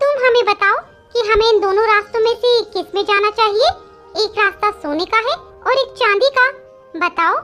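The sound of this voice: A cartoonish character voice talks at a moderate pace. Clear music plays in the background. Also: woman, extremely high pitch for a woman.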